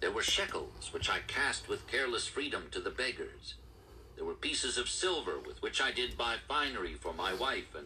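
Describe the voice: Someone is doing plain reading aloud.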